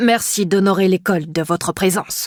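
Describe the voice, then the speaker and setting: The female-sounding put-on character voice growls at a middle pitch and moderate pace on a very clean recording with a silent background. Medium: read story. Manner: pompous, formal.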